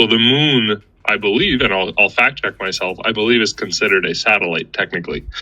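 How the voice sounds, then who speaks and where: Speaking at a fairly quick pace, a man barely pauses at all. His pitch is medium, with ordinary pitch variation. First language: not English. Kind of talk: casual chat. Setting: audio chat room.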